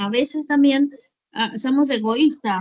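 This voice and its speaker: A woman speaks at a fairly slow pace. Her pitch is high, with ordinary pitch variation. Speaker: nurse student. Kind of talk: casual class discussion.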